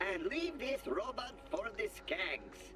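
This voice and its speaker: Loud background noise runs under a put-on character voice delivered at a fairly slow pace. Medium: video game.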